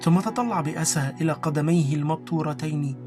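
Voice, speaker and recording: Over music in the background, the speaker goes at a fairly slow pace with ordinary pitch variation. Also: man. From Egypt. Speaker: voice actor. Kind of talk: audiobook narration.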